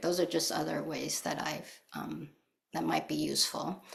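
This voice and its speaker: A woman's voice with vocal fry at a moderate pace. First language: not English. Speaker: Buddhist teacher and author. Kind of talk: dharma talk. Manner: hesitant, many filler words.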